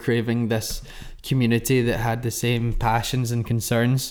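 A man's medium-pitched, an ordinary speaking voice at a fairly slow pace. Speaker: podcast host. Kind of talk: casual chat.

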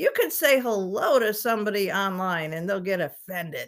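Her tone is animated as a woman speaks at medium pitch. The recording is very clean, with a silent background. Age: 50s. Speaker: podcast host and hairstylist. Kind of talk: casual monologue. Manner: animated, laughing often.

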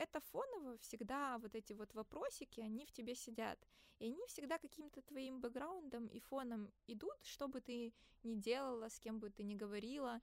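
Speaking at a moderate pace, a woman's high pitch carries ordinary pitch variation. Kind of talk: casual chat. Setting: studio. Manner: animated.

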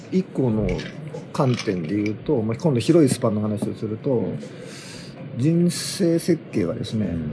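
A man at a medium pitch speaks at a moderate pace, with very wide pitch swings and long, frequent pauses. Noticeable background noise is present. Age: 50s. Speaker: podcast host. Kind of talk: casual chat. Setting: at a sauna.

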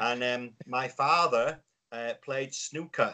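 A man with a Yorkshire accent talks at a fairly slow pace. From Yorkshire, northern England. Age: 50s. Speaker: business consultant. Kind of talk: casual chat.

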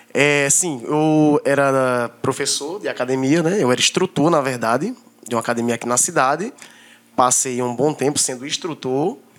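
With an ordinary speaking voice, a man speaks at a moderate pace in a fairly high pitch with ordinary pitch variation. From Brazil, Northeast (Paraíba). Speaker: barber and entrepreneur. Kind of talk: casual chat.

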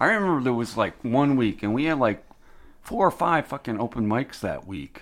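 The man has a plain, everyday voice at a medium pitch, talking at a moderate pace with lively intonation. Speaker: haunted house performer. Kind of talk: casual chat. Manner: profane.

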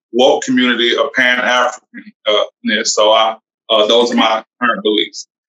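A man with an American accent speaks at a fairly slow pace in a dry, close sound with no echo. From US South, Alabama. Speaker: author and mental health advocate. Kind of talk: interview. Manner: halting, many fillers.

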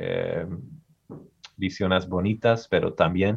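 The intonation of this man stays fairly even. His pace is fairly slow. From US Midwest, Michigan. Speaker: historian. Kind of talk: interview. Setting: video call.

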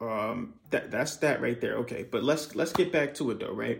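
This man has a plain, everyday voice at a medium pitch. His pace is moderate. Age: 20s. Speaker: podcast host, copywriter. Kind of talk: casual monologue.

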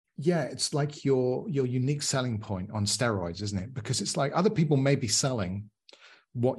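Somewhat breathy, a man with a medium pitch talks at a fairly quick pace with lively intonation. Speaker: podcast host. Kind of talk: podcast interview.

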